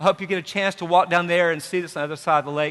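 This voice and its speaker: In a bright, sharp tone, a man speaks with an Appalachian accent against a quiet background. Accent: Appalachian southern. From Tri-Cities area, Virginia/Tennessee border (Appalachia). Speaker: university president. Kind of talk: welcome speech. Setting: stage with audience.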